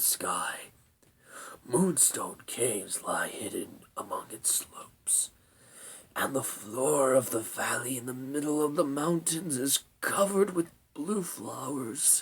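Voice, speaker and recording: Using a put-on character voice, a man talks at a fairly slow pace in a husky, fairly high tone. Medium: read story. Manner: slow, weary, solemn.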